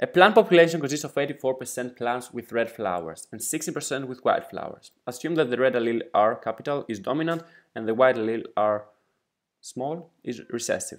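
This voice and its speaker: A man talks with a Greek accent at a fairly high pitch. His intonation is lively. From Greece. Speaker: exam prep tutor. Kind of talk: tutorial.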